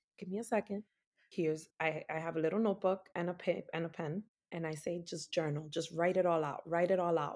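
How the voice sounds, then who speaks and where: A woman with an American accent has a plain, everyday voice and a fairly low pitch. She talks at a fairly quick pace. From New York City, Washington Heights. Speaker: doula and Reiki practitioner. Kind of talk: casual interview.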